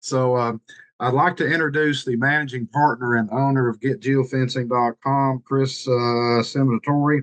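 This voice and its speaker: In a Tennessee accent, a man speaks at a moderate pace with fairly even intonation, the sound dry and close with no echo. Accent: Southern US (Tennessee). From US South, Eastern Tennessee mountains. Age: 60s. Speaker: marketing director. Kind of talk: casual presentation on video call. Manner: halting, many fillers.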